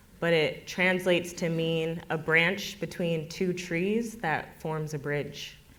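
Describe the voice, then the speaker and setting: The speaker uses a General American accent with fairly even intonation. The pace is very slow with hardly any pauses, and there is audible room echo. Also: woman, fairly low pitch for a woman. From US, Denver area. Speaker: farmer and storyteller. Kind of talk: personal storytelling at community event.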